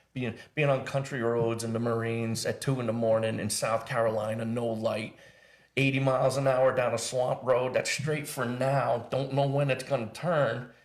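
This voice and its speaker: A man at a medium pitch speaks at a moderate pace with flat, monotone intonation, and room echo is audible. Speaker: Marine veteran and wellness coach. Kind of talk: casual interview conversation. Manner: loud; halting, repeats words.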